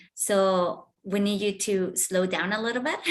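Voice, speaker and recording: A normal speaking voice from a woman, medium in pitch and fairly slow in pace. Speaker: pitch coach. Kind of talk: feedback critique.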